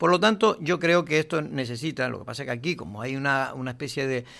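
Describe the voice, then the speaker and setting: Heard on a very clean recording with a silent background, a man with a fairly high voice, vocal fry and lively intonation talks at a fairly quick pace. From Canary Islands, Lanzarote. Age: 60s. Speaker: political analyst. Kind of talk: radio interview.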